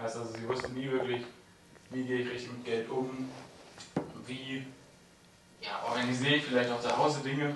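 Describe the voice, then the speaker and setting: Through audible room echo and noticeable background noise, a man talks at a fairly quick pace with a medium pitch. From Germany, Hameln near Hannover. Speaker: audience member, financial education. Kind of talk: audience remarks at a talk. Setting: audience with handheld microphone.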